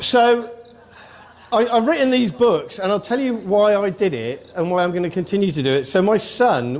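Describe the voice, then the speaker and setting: Speaking at a moderate pace with lively intonation, a man with a British accent is heard over noticeable background noise. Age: 60s. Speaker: army veteran and author. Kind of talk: speech. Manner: animated.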